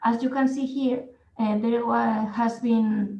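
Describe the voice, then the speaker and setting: Speaking at a very slow pace, a woman with a Spanish accent uses a fairly high pitch. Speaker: nursing and physiotherapy researcher. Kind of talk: conference presentation. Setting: online conference. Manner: hesitant, with fillers.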